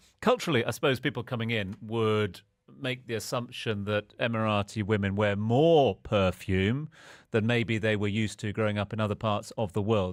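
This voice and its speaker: A man with an ordinary speaking voice talks at a moderate pace in a fairly low pitch, his intonation fairly even, on a very clean recording with a silent background. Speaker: radio presenter. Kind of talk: radio show host talk. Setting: studio.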